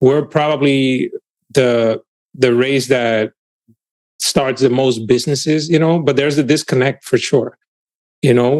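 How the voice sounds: A man's medium-pitched, slightly mellow voice at a slow pace, with fairly even intonation and long, frequent pauses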